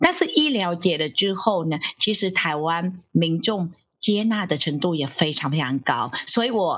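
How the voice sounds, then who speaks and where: A woman with a Vietnamese accent at a medium pitch, speaking at a fairly slow pace. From Vietnam, Ho Chi Minh City. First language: Vietnamese (speaking Chinese). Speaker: professor. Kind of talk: interview.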